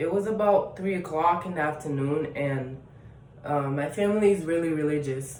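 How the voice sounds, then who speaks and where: Over noticeable background noise and audible room echo, a woman speaks at a moderate pace with a very deep, low pitch. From Haiti. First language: Haitian Creole. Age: 20s. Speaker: vlogger. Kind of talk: casual storytelling vlog. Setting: at home. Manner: hesitant, many fillers.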